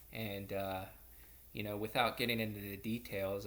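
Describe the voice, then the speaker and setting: Audible room echo around a man's fairly low voice. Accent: Pittsburgh. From US, Pittsburgh, Pennsylvania. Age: 30s. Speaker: student. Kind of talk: personal introduction video. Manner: halting, many fillers.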